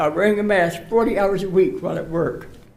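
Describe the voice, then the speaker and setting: Audible room echo hangs around the voice. The man talks at a moderate pace. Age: 80s+. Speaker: public commenter. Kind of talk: public comment. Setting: city council meeting.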